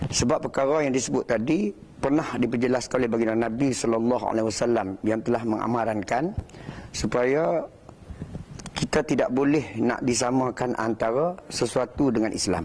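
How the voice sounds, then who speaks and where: Against noticeable background noise, a man talks at a moderate pace and medium pitch, with ordinary pitch variation and very even loudness. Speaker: religious speaker. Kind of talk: religious talk. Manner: formal.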